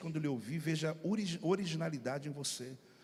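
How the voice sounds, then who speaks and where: At a fairly quick pace, a man with a fairly high pitch talks with lively intonation. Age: middle-aged. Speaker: pastor. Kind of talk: sermon. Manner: fast; animated.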